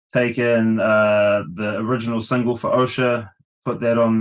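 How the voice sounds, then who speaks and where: A man with a New Zealand accent speaks in a fairly low pitch with monotone, flat intonation against a quiet background. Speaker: rock vocalist. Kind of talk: casual interview.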